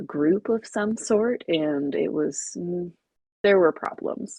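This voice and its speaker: With lively intonation, a woman speaks in a normal speaking voice at a fairly low pitch. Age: 30s. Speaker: podcast co-host. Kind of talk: casual self-introduction.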